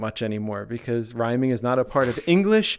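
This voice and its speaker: The recording is very clean, with a silent background. The speaker talks at a moderate pace with a Philadelphia accent. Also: man. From US, Philadelphia. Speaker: VR streamer. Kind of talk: casual chat. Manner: halting, many restarts.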